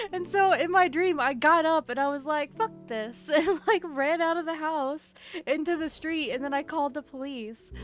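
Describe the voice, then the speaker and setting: With music in the background, a woman talks at a moderate pace in a high pitch with ordinary pitch variation. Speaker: streamer. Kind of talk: casual chat. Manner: soft-spoken. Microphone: new mic.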